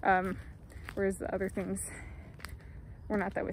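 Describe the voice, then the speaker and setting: Heard in a dry sound with no echo, a woman speaks in a dark, mellow tone. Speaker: vlogger. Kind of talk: casual vlog chat. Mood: amused, reflective. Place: open country. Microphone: phone near.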